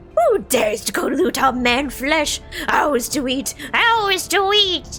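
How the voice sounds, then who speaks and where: A woman puts on a character voice pitched high. Clear music plays in the background. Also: fairly slow pace. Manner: menacing, greedy.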